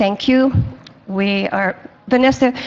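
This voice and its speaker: This woman talks with an American accent and ordinary pitch variation. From South Florida. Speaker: senior center artist. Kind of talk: community presentation.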